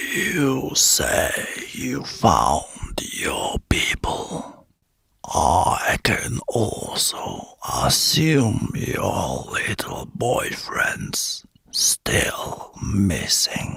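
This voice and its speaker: Using a put-on character voice, a man sounds raspy. His delivery is very slow. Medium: read story. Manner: condescending, menacing.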